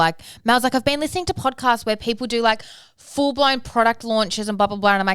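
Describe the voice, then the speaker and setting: Over a silent background in a very clean recording, a woman with an Australian accent talks very fast. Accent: Australian, less broad than co-host. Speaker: parenting podcast co-host and business owner. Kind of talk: casual chat.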